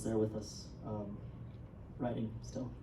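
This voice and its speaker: Audible room echo and noticeable background noise surround a woman speaking with a New Mexico accent. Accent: New Mexican. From New Mexico, Taos. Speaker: writer. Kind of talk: talk to audience at premiere. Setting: cinema stage with audience. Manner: halting, many fillers.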